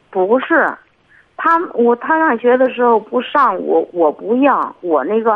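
A woman speaks at a very slow pace and a high pitch. Her pitch swings very widely. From Hebei. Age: 50s. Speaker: caller. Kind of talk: call-in advice talk. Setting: phone call. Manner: soft-spoken; halting.

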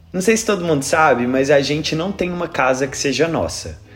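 A man speaks at a fairly quick pace with lively intonation over noticeable background noise. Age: 30s. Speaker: podcast host and YouTuber. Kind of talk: casual chat; scripted intro. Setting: at home.

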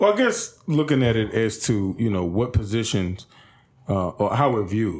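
The speaker has a plain, everyday voice, moving at a moderate pace with ordinary pitch variation. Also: man, medium pitch for a man. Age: 30s. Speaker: support services CEO. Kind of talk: casual chat.

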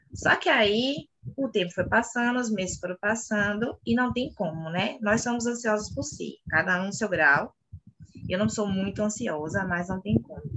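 A woman with a plain, everyday voice speaks at a moderate pace. Her pitch is medium and her intonation lively. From Bahia, Brazil (Salvador). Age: 30s. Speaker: clothing store owner. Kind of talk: interview.

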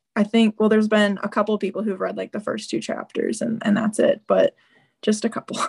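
A woman with a Midwestern American accent at a fairly quick pace, in a dry, close sound with no echo. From Southern Illinois. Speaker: freelance writer. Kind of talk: casual interview. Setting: video call.

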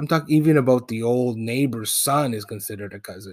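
Medium pitch from a man at a moderate pace, with ordinary pitch variation on a very clean recording and a silent background. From Toronto, Canada. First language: Spanish. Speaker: podcast host. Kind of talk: personal storytelling monologue.

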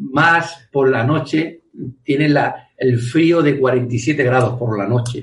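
The delivery is very slow. Pitch varies in an ordinary way. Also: man. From Spain, Andalusia (Almería province). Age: 40s. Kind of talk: interview.

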